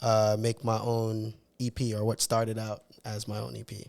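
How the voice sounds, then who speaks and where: A man with an American accent talks at a fairly slow pace in a medium pitch with monotone, flat intonation, on a very clean recording with a silent background. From Jamaica, Bull Bay near Kingston. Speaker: music artist and producer. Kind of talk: interview. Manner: casual.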